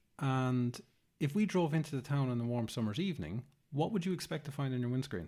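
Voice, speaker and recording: With an Irish accent, a man talks at a fairly quick pace in a fairly high pitch, his dark, mellow tone rising and falling with lively intonation. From Ireland. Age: 40s. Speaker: green infrastructure educator and speaker. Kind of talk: interview answer.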